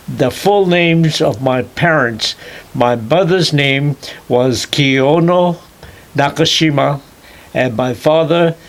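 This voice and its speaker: Very slow and marked by long, frequent pauses, a man's fairly high voice keeps very even loudness and ordinary pitch variation amid noticeable background noise. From Hawaii (Kauai, plantation). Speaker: retired chemistry professor. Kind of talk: oral history interview. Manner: halting, many fillers.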